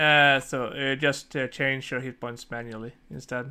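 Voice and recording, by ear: This man speaks at a fairly slow pace with fairly even intonation. His tone is bright and sharp, yet also clear and smooth. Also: medium pitch for a man.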